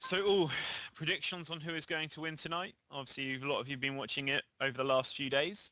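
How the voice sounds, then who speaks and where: Speaking at a very fast pace, a man with a fairly high pitch uses fairly even intonation and a bright, sharp tone. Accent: English. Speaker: esports caster. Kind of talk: live commentary.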